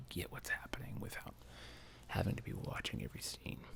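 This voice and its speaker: Whispering, the speaker moves at a fairly quick pace. The tone is relaxed. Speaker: ASMR channel host and movie reviewer. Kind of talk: soft-spoken ASMR movie review, casual talk to camera. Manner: soft-spoken, relaxed, conversational.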